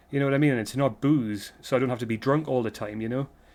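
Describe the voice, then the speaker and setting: Speaking with a British accent, the voice comes through on a very clean recording with a silent background. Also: man. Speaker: vlogger. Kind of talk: casual monologue vlog. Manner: rambling, halting with false starts; stuttering.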